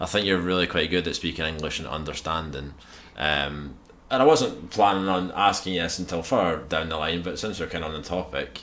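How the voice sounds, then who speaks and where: A man with a strong Scottish accent speaks at a fairly quick pace. His very deep, low pitch has ordinary variation. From Scotland. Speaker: podcast host. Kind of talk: casual chat. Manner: formal.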